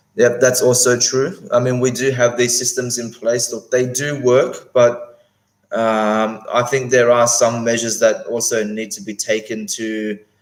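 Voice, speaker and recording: Here a man with an Australian accent speaks at a medium pitch. His pace is fairly slow and his intonation fairly even. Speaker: whisky YouTuber. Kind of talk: live stream chat. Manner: halting, many fillers.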